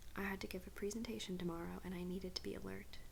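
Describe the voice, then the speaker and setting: A soft-spoken woman is talking. Her pace is fairly quick. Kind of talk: first-person creepypasta narration. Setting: candlelit room, ASMR recording. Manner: soft-spoken, quiet.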